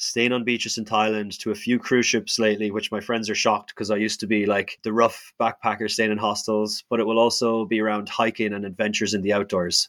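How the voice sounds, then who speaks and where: A man with an Irish accent speaks very fast in a flat monotone at a fairly low pitch, on a very clean recording with a silent background. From Ireland. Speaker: hospitality worker and traveler. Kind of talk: interview.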